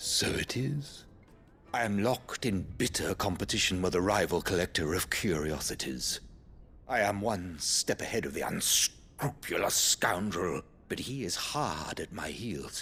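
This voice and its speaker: A man's put-on character voice, fairly low in pitch, at a moderate pace, over clear background noise. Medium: video game. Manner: theatrical, pompous.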